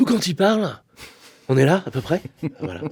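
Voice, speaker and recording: This is a very clean recording with a silent background. The speaker is a man. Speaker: vocal coach. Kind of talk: interview. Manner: halting.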